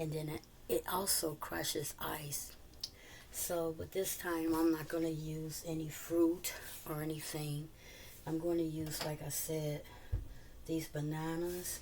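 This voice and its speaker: A woman talks at a fairly slow pace in a very deep, low voice, leaving long, frequent pauses. Her intonation stays monotone and flat, and room echo is audible. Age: 60s. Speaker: cooking vlogger. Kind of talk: casual tutorial. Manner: halting, many fillers.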